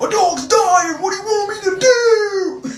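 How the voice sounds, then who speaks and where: A woman's put-on character voice at an extremely high pitch, with audible echo. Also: moderate pace. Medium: solo performance. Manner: defensive.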